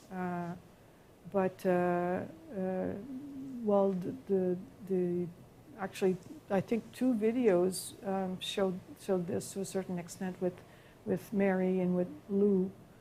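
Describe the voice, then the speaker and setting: A woman's medium-pitched voice with a Quebec accent, dark and mellow in tone, flat and monotone, at a fairly slow pace with long, frequent pauses. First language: French. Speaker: professor. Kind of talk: lecture Q&A. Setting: lecture hall with audience and live stream. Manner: halting.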